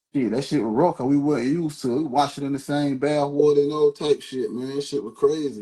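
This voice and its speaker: An unremarkable speaking voice from a man, fairly high in pitch, fairly quick, with fairly even intonation and hardly any pauses. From US South, Georgia (Savannah, raised in Statesboro). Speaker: local rapper. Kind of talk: interview. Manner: casual, repetitive.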